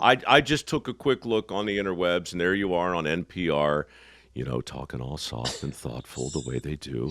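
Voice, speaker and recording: A man with a very deep, low pitch and vocal fry moves through very wide pitch swings at a moderate pace. The sound is dry and close with no echo, on a very clean recording with a silent background. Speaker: radio show host, interviewer.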